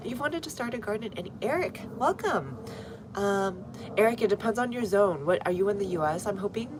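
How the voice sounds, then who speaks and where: A woman with an American accent talks at a medium pitch over noticeable background noise. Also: lively intonation, fairly quick pace. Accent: American, viewer remarked on. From US, North Texas. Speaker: gardening livestreamer. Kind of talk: live stream chat and gardening tutorial. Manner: casual, conversational.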